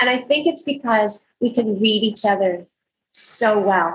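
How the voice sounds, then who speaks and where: A somewhat breathy woman speaks at a fairly slow pace, her fairly high pitch showing ordinary variation. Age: 60s. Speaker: podcast co-host, homeschool mom. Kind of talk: casual book discussion.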